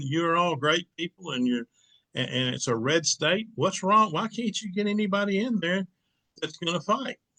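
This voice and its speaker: Using a bright, sharp tone, a man with an Arkansas accent speaks at a moderate pace with lively intonation in a dry, close sound with no echo. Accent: Southern US (Arkansas). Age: 60s. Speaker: local political show host. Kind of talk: casual political talk. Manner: halting.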